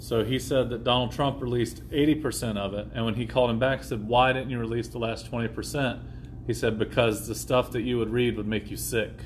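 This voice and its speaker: Vocal fry marks a man's voice at a medium pitch. He speaks at a fairly quick pace with fairly even intonation. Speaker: podcast host. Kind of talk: casual chat. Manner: casual, joking.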